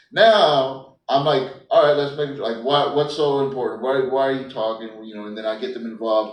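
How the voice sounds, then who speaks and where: Mumbling at a fairly quick pace, a man with a fairly high pitch is heard with audible room echo. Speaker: stand-up comedian. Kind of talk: casual chat.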